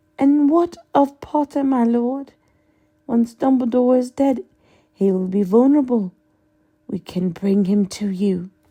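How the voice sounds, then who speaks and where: In a put-on character voice, a woman speaks in a high, sing-song pitch at a fairly slow pace with long, frequent pauses. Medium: read story.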